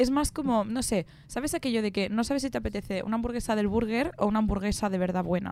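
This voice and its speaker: A woman races along at a very fast pace with hardly any pauses. Her pitch is fairly high with ordinary variation, and her loudness stays very even. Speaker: student radio co-host. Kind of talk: casual film discussion. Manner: animated.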